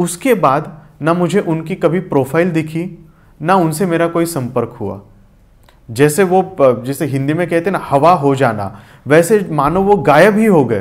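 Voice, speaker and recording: A man with a Marathi accent, a fairly high pitch, and lively intonation. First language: Marathi (speaking Hindi). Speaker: poet and lyricist. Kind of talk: interview.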